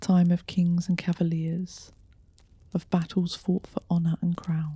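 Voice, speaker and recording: Soft-spoken and somewhat breathy, a woman with a fairly low pitch and a dark, mellow tone talks at a fairly slow pace in a flat monotone. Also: dry, close sound with no echo. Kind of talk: ghost story narration. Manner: seductive, soft-spoken.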